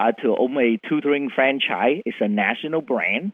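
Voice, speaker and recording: A man with a Vietnamese accent speaks at a fairly high pitch. His pace is fairly slow and his intonation lively. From Vietnam, Chinese heritage. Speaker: CEO of education company. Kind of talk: interview. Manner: animated.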